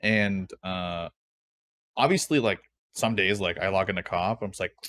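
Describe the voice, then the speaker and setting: A man speaks with a fairly low pitch. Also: very clean recording, silent background. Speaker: streamer podcast co-host. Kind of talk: casual chat. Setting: live stream. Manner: sounds annoyed even when not.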